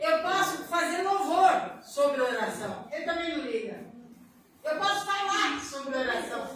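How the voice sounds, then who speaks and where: Pitch swings very widely at a fairly slow pace. Noticeable background noise and audible room echo are present. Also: woman, extremely high pitch for a woman. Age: 70s. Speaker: church deaconess. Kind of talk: leading prayer; sermon with testimony.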